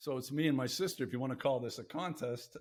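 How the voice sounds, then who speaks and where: This man has a plain, everyday voice pitched fairly high. He talks at a moderate pace. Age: 60s. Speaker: podcast host. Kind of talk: casual chat.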